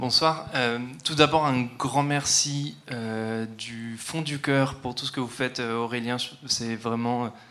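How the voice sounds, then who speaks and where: The speech moves at a very slow pace with fairly even intonation and audible room echo. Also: man, medium pitch for a man. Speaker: audience member. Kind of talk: audience question. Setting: hall with large audience.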